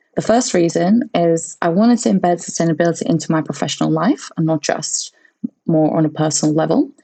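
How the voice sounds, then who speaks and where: A woman's fairly low, dark, mellow voice with vocal fry, lively intonation and a fairly quick pace. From England, grew up from age seven; born in Latvia. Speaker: sustainability specialist at a software company. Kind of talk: podcast interview.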